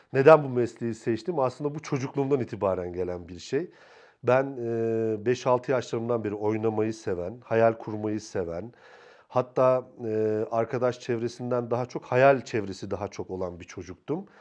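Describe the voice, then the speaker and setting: A man speaks in a normal speaking voice at medium pitch. His pitch varies in an ordinary way, and the pace is moderate. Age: 40s. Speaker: film and TV director. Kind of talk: interview.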